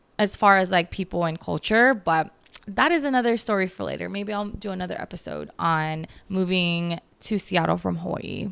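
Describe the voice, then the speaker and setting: A woman speaks at a moderate pace with a slight Filipino accent. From Philippines, Baguio City. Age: 30s. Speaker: podcast host. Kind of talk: casual chat.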